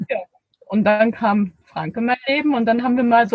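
Speaking at a fairly quick pace, a woman uses a fairly high pitch in an unremarkable speaking voice. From Erzgebirge, Saxony. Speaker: podcaster and van traveler. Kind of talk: casual interview. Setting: in a parked camper van.

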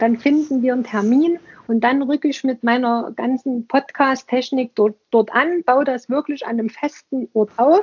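This woman's voice sits high in pitch, with ordinary pitch variation and a moderate pace. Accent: Saxon. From Saxony, eastern Germany. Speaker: museum podcaster. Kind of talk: casual interview conversation.

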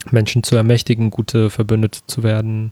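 A man's medium-pitched, dark and mellow voice with monotone, flat intonation and a dry, close sound with no echo. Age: 20s. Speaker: podcast co-host. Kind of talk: casual chat.

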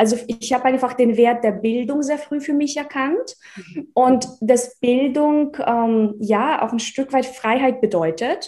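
At a very slow pace, a woman speaks with a high pitch, ordinary pitch variation and a dark, mellow tone. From Russia (village), born in Czechoslovakia. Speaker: investment educator and entrepreneur. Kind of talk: interview.

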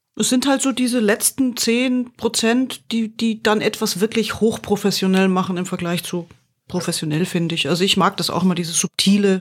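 A woman speaks in a plain, everyday voice at a moderate pace, with medium pitch and ordinary pitch variation. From Bavaria. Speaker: podcast host reviewing corporate podcasts. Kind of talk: casual chat.

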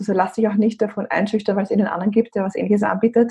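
A woman with an Austrian accent speaks at a medium pitch, somewhat breathy and with monotone, flat intonation. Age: 30s. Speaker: brand consultant. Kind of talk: interview. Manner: halting, many fillers.

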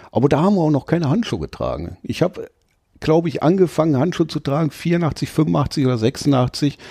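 Fairly high-pitched man's voice with vocal fry and a dark, mellow tone, at a fairly quick pace over a quiet background. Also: ordinary pitch variation. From Ruhr area, Duisburg. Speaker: tattoo artist. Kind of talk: casual interview.

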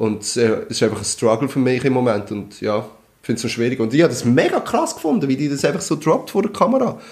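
Speaking at a very fast pace with hardly any pauses, a man uses a medium pitch and lively intonation. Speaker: podcast host. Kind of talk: casual chat.

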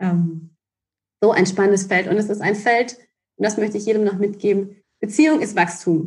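A woman speaks at a moderate pace in a somewhat breathy voice of medium pitch. She shows ordinary pitch variation and takes long, frequent pauses. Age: 30s. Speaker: relationship coach. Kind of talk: casual chat.

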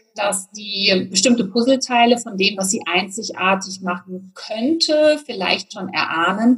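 Here a woman has an ordinary speaking voice and a fairly high pitch. She talks at a fairly slow pace. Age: 40s. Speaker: business coach. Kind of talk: interview.

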